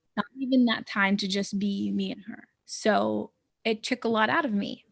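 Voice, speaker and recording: The woman's voice is somewhat breathy, at a medium pitch. She moves at a moderate pace with ordinary pitch variation. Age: 20s. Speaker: podcaster and mental health speaker. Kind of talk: interview. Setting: studio. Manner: casual, with false starts.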